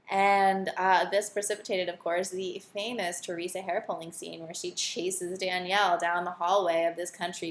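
With an American accent, a woman speaks in an unremarkable speaking voice at medium pitch and a moderate pace, her loudness swinging widely. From northern New Jersey (Morristown). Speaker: podcast co-host, social scientist. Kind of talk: casual chat.

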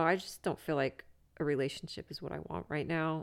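Vocal fry marks this fairly quick speech, captured on a very clean recording with a silent background. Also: woman. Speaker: comedian. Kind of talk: casual chat.

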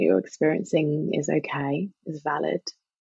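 A woman speaks with a London accent in a dark, mellow tone. Her pace is moderate. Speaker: meditation teacher. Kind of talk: casual interview chat; guided meditation.

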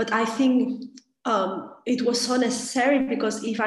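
Audible room echo around a woman speaking at a moderate pace. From Spain, Catalonia. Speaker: yoga teacher. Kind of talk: personal birth story interview.

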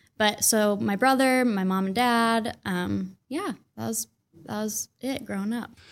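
A woman speaks in a plain, everyday voice with an American accent, fairly high in pitch and fairly even in intonation. The recording is very clean, with a silent background. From Minnesota, suburbs of Minneapolis. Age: 20s. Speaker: poet and writer. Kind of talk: casual interview chat.

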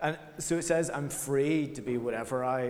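Audible room echo colors this man's voice. He keeps a moderate pace and ordinary pitch variation. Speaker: church leader. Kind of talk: sermon.

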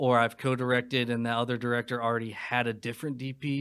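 A man speaks with a North Carolina accent. The recording is very clean, with a silent background. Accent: US Southern (North Carolina). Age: 20s. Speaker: film director and writer. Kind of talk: casual interview chat.

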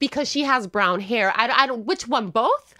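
Recorded dry and close with no echo, a woman speaks in a high, bright, sharp voice that swings very widely in pitch. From Puerto Rico. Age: 30s. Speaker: podcast host. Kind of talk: casual chat.

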